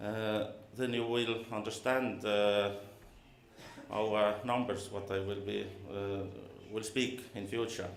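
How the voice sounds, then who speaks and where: With monotone, flat intonation, a man at fairly low pitch speaks at a very slow pace with long, frequent pauses. Audible room echo and noticeable background noise fill the recording. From Estonia, East region. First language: Estonian. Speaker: auxiliary police officer. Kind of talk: conference presentation. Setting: conference hall with audience. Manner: halting, many filler sounds.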